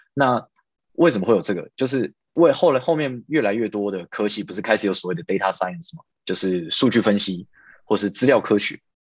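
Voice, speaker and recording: With a Taiwanese accent, a man speaks at a fairly quick pace in a fairly low pitch. His intonation is lively, and the background is quiet. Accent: Taiwanese Mandarin. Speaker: software engineer. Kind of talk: casual interview. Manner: hesitant, many fillers.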